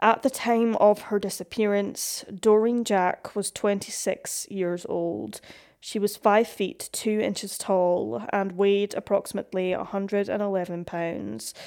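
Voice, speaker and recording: A woman with an ordinary speaking voice speaks at medium pitch and a fairly slow pace, her intonation fairly even. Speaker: podcast narrator. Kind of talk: true-crime narration. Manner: steady, solemn, measured; formal, scripted.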